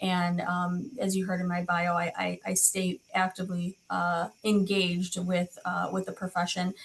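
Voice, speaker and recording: A woman with a medium pitch speaks at a fairly slow pace in a somewhat breathy voice, with hardly any pauses. Her intonation is monotone and flat, her loudness very even. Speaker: school nurse, nursing professor. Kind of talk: webinar presentation.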